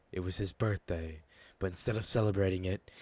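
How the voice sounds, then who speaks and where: A man's very deep, low, somewhat breathy voice at a fairly quick pace, with fairly even intonation. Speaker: fanfiction voiceover narrator. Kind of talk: casual intro; reading aloud. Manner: hesitant, filler words.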